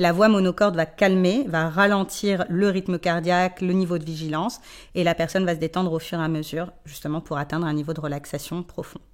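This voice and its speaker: A woman's fairly low voice, fairly quick and fairly even in intonation. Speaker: sophrologist. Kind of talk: interview. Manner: fast.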